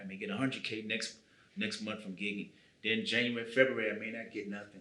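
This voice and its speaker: A man's fairly low, monotone, flat voice in an American accent, very fast, with big swings in loudness and audible room echo. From US, Chicago South Side. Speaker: musician. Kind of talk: interview.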